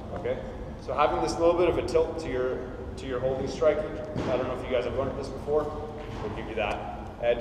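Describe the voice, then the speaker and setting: A man talks at a fairly quick pace with ordinary pitch variation. The room echoes audibly, and background noise is noticeable. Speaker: class instructor. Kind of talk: tutorial. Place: hall. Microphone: camera far.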